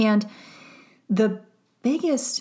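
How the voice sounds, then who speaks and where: Here is a woman with an American accent. Her voice sounds somewhat breathy. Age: 40s. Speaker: psychologist turned wellness mentor. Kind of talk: solo podcast monologue.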